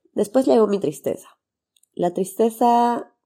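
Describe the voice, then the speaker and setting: A woman's dark, mellow tone at a moderate pace. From Bolivia, Santa Cruz. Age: 30s. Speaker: podcast host, doctor and mother. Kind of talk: personal testimony monologue.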